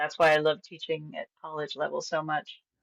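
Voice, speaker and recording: Moderately paced speech from a woman with an American accent. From Venezuela. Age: 60s. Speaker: language teacher. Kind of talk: casual chat.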